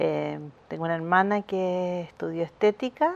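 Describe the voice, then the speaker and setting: Speaking fairly slowly, a woman keeps to a medium pitch. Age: 50s. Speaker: visual artist and printmaking teacher. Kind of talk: interview. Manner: halting, with frequent repetitions.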